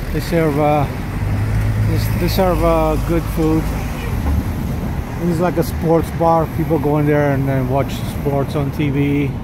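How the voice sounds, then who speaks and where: A fairly slow pace with long, frequent pauses, dry sound with no echo, and loud background noise. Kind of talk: casual tour commentary. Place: street. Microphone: phone near.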